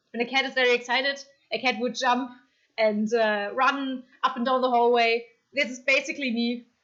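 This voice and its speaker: In a German accent, a woman speaks at a moderate pace with a high pitch and fairly even intonation. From Germany. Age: 30s. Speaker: streamer. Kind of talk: casual chat. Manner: hesitant, many fillers.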